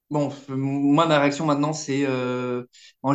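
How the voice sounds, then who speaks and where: Her voice is very deep and low for a woman. She speaks at a very slow pace. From Eastern Europe. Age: 30s. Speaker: escort and adult film actress. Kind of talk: casual interview.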